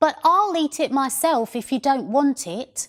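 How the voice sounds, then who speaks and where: A female-sounding, put-on character voice comes out croaky and high-pitched at a moderate pace. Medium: read story. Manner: whiny and demanding; sly, calm.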